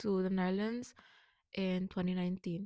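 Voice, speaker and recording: On a very clean recording with a silent background and a dry, close sound with no echo, a woman in a Curaçao accent speaks at a moderate pace with a medium pitch and monotone, flat intonation. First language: Papiamento. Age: 20s. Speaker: vlogger. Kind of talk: personal vlog monologue.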